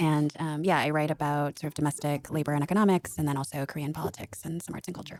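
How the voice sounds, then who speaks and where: Very fast and with hardly any pauses, a woman speaks in a very deep, low pitch with monotone, flat intonation, the sound dry and close with no echo. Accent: American. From US West Coast, Seattle area. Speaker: writer and former fact checker. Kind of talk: interview.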